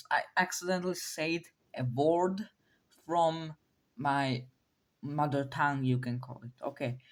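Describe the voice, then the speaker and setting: With a non-native accent, a woman speaks at a fairly slow pace with long, frequent pauses, her very deep, low voice showing ordinary pitch variation. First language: not English. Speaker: YouTuber presenting a speculative biology series. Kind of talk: casual video commentary. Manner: halting, with many fillers and restarts.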